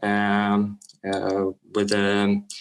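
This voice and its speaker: A man speaks with a Lithuanian accent. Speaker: film director. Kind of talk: interview Q&A. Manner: halting, many fillers.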